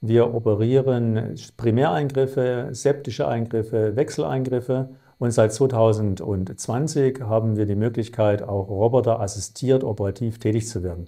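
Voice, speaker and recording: Against a quiet background, a man with a dark, mellow tone and medium pitch speaks at a moderate pace with ordinary pitch variation. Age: 50s. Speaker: chief surgeon. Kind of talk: self-presentation for clinic video. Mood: calm, professional. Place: office. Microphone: lapel.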